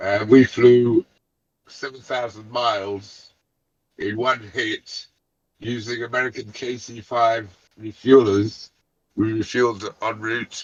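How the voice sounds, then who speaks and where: A man speaks very slowly at a medium pitch, with fairly even intonation. Long, frequent pauses and big swings in loudness run through his speech. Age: 70s. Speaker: former military pilot. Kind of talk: casual chat. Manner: halting.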